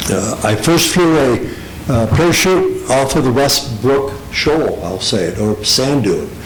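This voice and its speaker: A man speaks with lively intonation at a fairly slow pace. Audible room echo and noticeable background noise surround him. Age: 70s. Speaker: public commenter at meeting. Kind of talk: public comment at meeting. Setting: town hall public meeting. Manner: halting.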